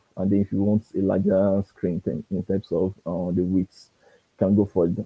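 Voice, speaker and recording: A soft-spoken man with a very deep, low pitch and a dark, mellow tone, at a moderate pace with monotone, flat intonation, in a dry, close sound with no echo. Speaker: design instructor. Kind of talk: tutorial. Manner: halting. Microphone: too quiet.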